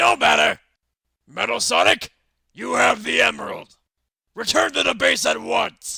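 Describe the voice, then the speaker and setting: A man shouts in a raspy, put-on character voice at a medium pitch. He keeps a moderate pace broken by long, frequent pauses. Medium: audio drama. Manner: angry, shouting.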